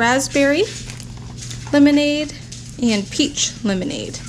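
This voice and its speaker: A woman's voice is heard with noticeable noise in the background. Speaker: haul vlogger. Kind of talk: casual vlog chat. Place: home room.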